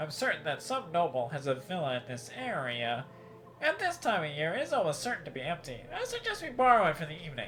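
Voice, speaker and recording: Over clear background noise, a man rattles along at a very fast pace in a high-pitched put-on character voice. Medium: game stream. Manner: smooth, measured.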